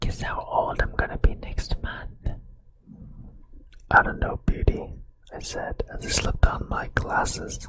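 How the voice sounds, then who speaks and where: Over noticeable background noise, the whispering proceeds very slowly. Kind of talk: ASMR whispered story reading. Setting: close microphone, binaural ear-to-ear recording. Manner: whispered, close-up, soft.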